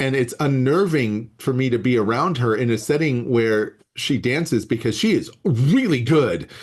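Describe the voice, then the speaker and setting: In an ordinary speaking voice with an American accent, a man talks at a moderate pace and medium pitch, with ordinary pitch variation, very even loudness and hardly any pauses. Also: quiet background. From US Southwest desert. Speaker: biology professor. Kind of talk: casual chat. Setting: video call.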